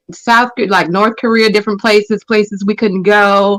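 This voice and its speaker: A woman with an American accent has an unremarkable speaking voice. She talks at a moderate pace and medium pitch. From United States, military family. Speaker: panel guest. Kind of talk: casual panel discussion.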